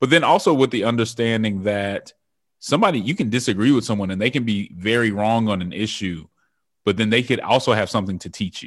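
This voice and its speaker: Against a quiet background, a man of medium pitch talks at a very fast pace with ordinary pitch variation. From US West, Denver, Colorado. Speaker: author and political campaign strategist. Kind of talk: interview.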